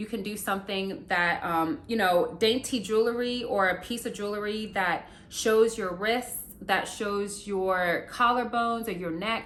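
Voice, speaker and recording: In an American accent, a woman with a medium pitch speaks at a fairly slow pace with hardly any pauses and fairly even intonation, and audible room echo surrounds her voice. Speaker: beauty and lifestyle youtuber. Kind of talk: casual tutorial vlog. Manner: conversational, many fillers.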